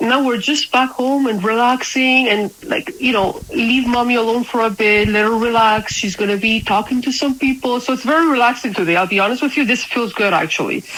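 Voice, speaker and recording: Speaking at a fairly quick pace with hardly any pauses, a high-pitched woman with a slight non-native accent keeps her loudness very even and her pitch variation ordinary over noticeable background noise. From Spain. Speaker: crypto community leader. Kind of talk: casual interview chat. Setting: at home. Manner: halting.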